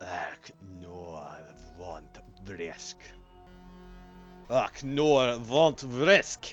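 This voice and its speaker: A man uses a gravelly, put-on character voice at a medium pitch, speaking very slowly with long, frequent pauses. Faint music plays in the background. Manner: shouting, menacing.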